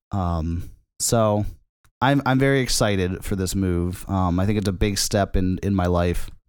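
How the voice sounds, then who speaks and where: Here is a man with a plain, everyday voice. He speaks at a fairly low pitch. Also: ordinary pitch variation. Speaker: podcast co-host. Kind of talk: casual comedic banter. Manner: rambling, stumbling, interrupted often.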